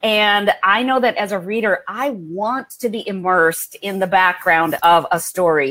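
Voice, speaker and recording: A woman with an American accent, a plain, everyday voice and ordinary pitch variation. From India, raised in the US. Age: 50s. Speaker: historical fiction novelist. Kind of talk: interview.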